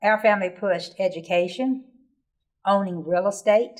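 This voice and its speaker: A medium-pitched woman with an American accent and ordinary pitch variation. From Virginia, Roanoke. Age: 70s. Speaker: oral history interviewee, retired nurse. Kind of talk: oral history interview.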